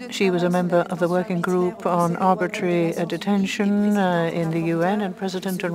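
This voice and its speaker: Recorded dry with no echo, a woman speaks over noticeable background noise. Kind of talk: simultaneous interpretation of formal speaker introduction.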